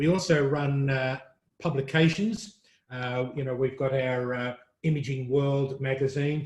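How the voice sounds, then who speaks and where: Fairly high-pitched and somewhat breathy, a man with an Australian accent speaks at a fairly slow pace with ordinary pitch variation. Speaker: print industry media executive. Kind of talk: interview.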